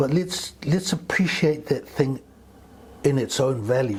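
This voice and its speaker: A man with a Samoan accent speaks fairly slowly in a somewhat breathy voice. His pitch varies in an ordinary way. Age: 70s. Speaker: community elder and men's wellness mentor. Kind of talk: podcast interview.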